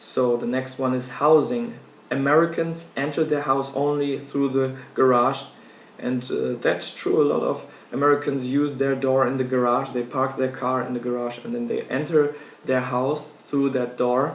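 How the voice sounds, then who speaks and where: A man's medium-pitched, monotone, flat delivery in a German accent at a moderate pace, with audible room echo and noticeable background noise. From Germany. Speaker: university student. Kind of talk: class speech. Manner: halting.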